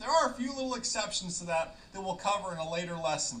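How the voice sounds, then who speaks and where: A man talks at a fairly quick pace with lively intonation, over noticeable background noise and audible room echo. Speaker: flight ground school instructor. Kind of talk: tutorial. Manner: fast.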